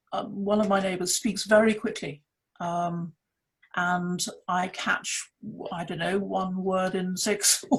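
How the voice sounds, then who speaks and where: A woman speaks at a medium pitch in a southern English accent, her voice somewhat breathy. She talks very slowly in a flat monotone, with long, frequent pauses. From England, West Sussex. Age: 60s. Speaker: author. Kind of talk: panel discussion.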